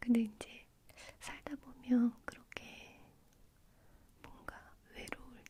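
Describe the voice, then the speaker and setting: A woman whispers. Every word she says is whispered. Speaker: ASMR creator. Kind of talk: whispered ASMR chat to camera. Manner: soft, whispering, intimate.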